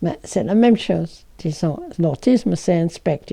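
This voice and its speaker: Fairly slow and fairly low-pitched, a woman with an English accent speaks with vocal fry and lively intonation. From England. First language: English (speaking French). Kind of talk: explanatory talk.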